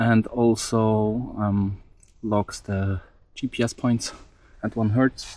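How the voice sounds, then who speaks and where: A man's voice with a non-native accent. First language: not English. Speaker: DIY electronics hobbyist, mountain biker. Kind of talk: tutorial. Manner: hesitant, many fillers.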